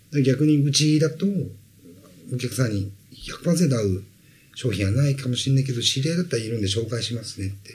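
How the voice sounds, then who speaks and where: Somewhat breathy and lively in intonation, a man speaks at medium pitch and a fairly quick pace. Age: 40s. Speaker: sales trainer. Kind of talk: interview.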